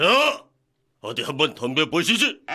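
Over faint background music, a man puts on a character voice and speaks at a fairly slow pace. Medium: dub.

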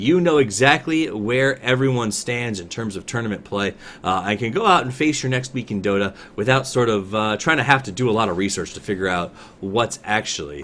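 A man's voice with very wide pitch swings over light background noise. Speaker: stream show host. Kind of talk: news show commentary. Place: home room.

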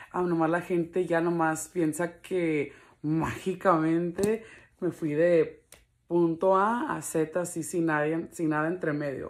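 A woman's fairly low voice at a very slow pace, fairly even in intonation, over a quiet background. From Los Angeles, US, Mexican family. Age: 20s. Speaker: video blogger. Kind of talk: casual vlog talk to camera. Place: home room. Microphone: phone near.

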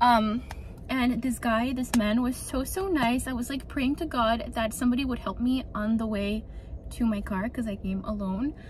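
Light background noise sits behind a woman talking at a moderate pace with ordinary pitch variation, the sound dry with no echo. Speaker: lifestyle vlogger. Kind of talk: casual vlog chat. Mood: animated, relieved, chatty. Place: car. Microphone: phone near.

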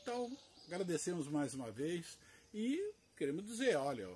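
Pitch swings very widely at a fairly slow pace. Light background noise sits behind the voice. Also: man. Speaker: orchid grower and seller; seller. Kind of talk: sales pitch; casual promotional vlog chat. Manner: speaking loudly to compensate; casual, hesitant with repetitions. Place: garden. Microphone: recording without external microphone, may sound quiet; camera far.

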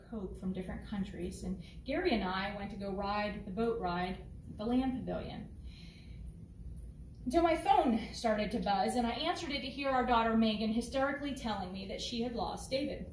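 Speaking at a fairly quick pace, a woman swings widely in loudness, with audible room echo and light background noise. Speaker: pastor. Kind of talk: sermon. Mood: storytelling, personal anecdote. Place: church.

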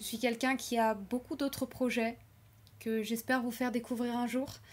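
A woman speaks in a nervous tone. Her pitch is fairly high. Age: 20s. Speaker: YouTuber and animation student; YouTuber. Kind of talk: unscripted personal vlog. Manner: hesitant, with filler words and nervous laughs. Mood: earnest, reflective. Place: home room. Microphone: webcam.

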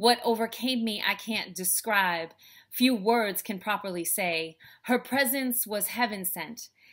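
An ordinary speaking voice moves at a fairly slow pace with ordinary pitch variation. The background is quiet. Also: woman, fairly high pitch for a woman. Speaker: speaker, author and life coach. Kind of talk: spoken word poetry performance. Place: home room. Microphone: webcam.

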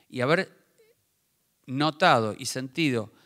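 Against a quiet background, a man speaks in a Rioplatense accent. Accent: Argentine Spanish (rioplatense). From Argentina. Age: 50s. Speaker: tennis coach for the blind, book author; tennis coach for the blind. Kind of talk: book presentation talk. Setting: theater with live audience. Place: stage. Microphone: handheld.

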